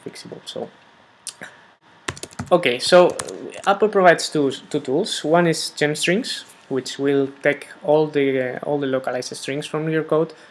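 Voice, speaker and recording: Big swings in loudness mark a man with a Spanish accent whose fairly high voice shows ordinary pitch variation. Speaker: software developer. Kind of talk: tutorial. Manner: hesitant, many fillers.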